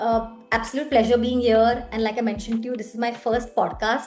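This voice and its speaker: Over music in the background, a woman talks fairly quickly in a high pitch. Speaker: podcast guest. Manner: fast talker.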